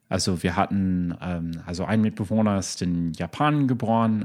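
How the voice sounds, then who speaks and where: A man speaks in a very deep, low pitch with ordinary pitch variation. The recording is very clean, with a silent background. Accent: English. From US, Chicago. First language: English (speaking German). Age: 30s. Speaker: lawyer. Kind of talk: casual chat. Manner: halting, many fillers.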